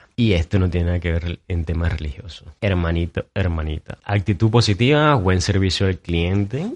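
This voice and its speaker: This man's voice sits very deep and low, with an animated tone and ordinary pitch variation, moving at a moderate pace with hardly any pauses in a dry, close sound with no echo. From Venezuela, Maturín. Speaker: podcast host. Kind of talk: solo podcast monologue.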